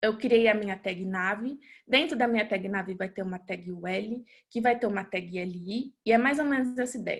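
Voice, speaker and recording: Using a plain, everyday voice, a woman speaks at a moderate pace with ordinary pitch variation. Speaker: web developer presenter. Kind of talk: webinar tutorial.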